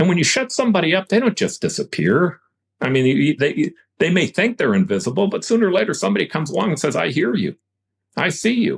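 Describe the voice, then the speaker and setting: Talking at a very fast pace, a man uses a high pitch with very wide pitch swings and very even loudness, the sound dry and close with no echo. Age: 60s. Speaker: former mayor, politician. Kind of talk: podcast interview. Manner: halting, repeats words.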